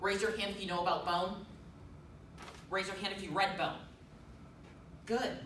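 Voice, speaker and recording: Noticeable background noise sits behind the speech. The pace is moderate, broken by long, frequent pauses. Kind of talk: persuasive speech to an audience. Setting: live room, handheld recording. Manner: stumbles over words at times.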